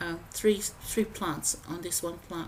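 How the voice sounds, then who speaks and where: Vocal fry marks a woman's fairly low-pitched voice as she speaks at a fairly slow pace with fairly even intonation. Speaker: home gardening vlogger. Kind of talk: voiceover narration. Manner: hesitant, many fillers.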